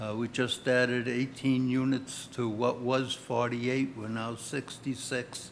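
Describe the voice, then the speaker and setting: A man with a medium pitch talks at a fairly slow pace in a monotone, flat intonation. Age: 80s+. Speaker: resident speaking at public meeting. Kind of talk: public comment.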